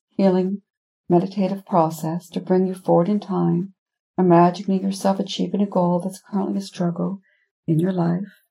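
A woman speaks with a dark, mellow tone that is somewhat breathy. Her intonation is monotone and flat. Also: medium pitch for a woman, moderate pace. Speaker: hypnotherapist podcast host. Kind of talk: guided meditation; scripted intro and recap. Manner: gently paced with long pauses.

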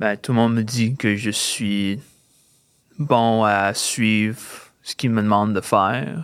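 A man with a slight English accent speaks at a medium pitch and a fairly slow pace. The recording is very clean, with a silent background. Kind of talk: casual interview. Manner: halting.

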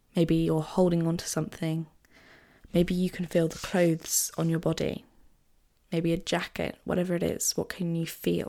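On a very clean recording with a silent background, a dark, mellow voice speaks in a monotone, flat intonation at a moderate pace. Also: woman, fairly low pitch for a woman. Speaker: podcast host. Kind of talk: guided meditation; casual solo podcast talk. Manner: warm, friendly, conversational.

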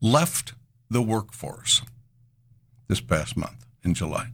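This man has a fairly low pitch and lively intonation. He talks at a fairly slow pace. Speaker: financial radio host. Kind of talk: call-in radio show. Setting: radio studio. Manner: animated.

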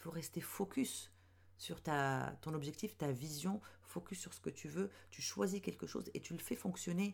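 Vocal fry runs through this fairly slow delivery, which has very wide pitch swings. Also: woman, very deep, low pitch for a woman. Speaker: podcast host, web strategist and mentor for women entrepreneurs. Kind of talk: solo podcast monologue. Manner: hesitant, many fillers.

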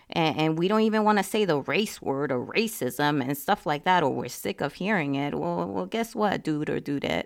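Her pitch swinging very widely, a woman speaks with vocal fry on a very clean recording with a silent background. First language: not English. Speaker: podcast host. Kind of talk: monologue commentary. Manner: halting, many fillers and repeats.

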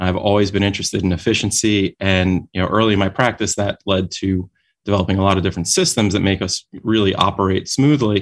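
A man speaks very fast with an American accent, his loudness very even and his intonation fairly even. The recording is very clean, with a silent background. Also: fairly low pitch for a man. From New York City, Brooklyn. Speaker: dentist and company founder. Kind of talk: interview. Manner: halting, with repeated words and fillers.

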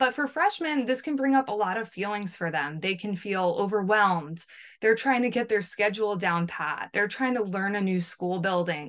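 At a moderate pace, a woman with an American accent uses a normal speaking voice at medium pitch with lively intonation. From New Jersey, US. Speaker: former school counselor. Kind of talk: interview.

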